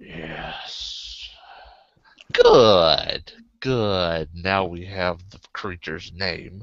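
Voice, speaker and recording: A man growls in a put-on character voice at a very deep, low pitch. He goes at a very slow pace with fairly even intonation. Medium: actual play. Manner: contemptuous, growling.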